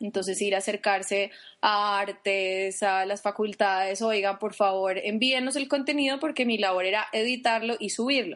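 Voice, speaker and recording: At a fairly slow pace, a woman speaks in an ordinary speaking voice with ordinary pitch variation over a quiet background. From Colombia, Popayán. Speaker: podcast co-host, UX specialist. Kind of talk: casual chat.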